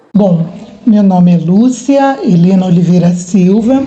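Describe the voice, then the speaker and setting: Heard with audible room echo, a woman speaks very slowly in a dark, mellow tone and sounds somewhat breathy. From Brazil, Campinas (São Paulo state). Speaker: history professor. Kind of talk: documentary interview.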